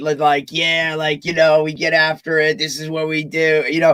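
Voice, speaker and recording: Using a raspy, put-on character voice, a man speaks at a fairly high pitch and moderate pace with monotone, flat intonation. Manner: intense, hyped-up.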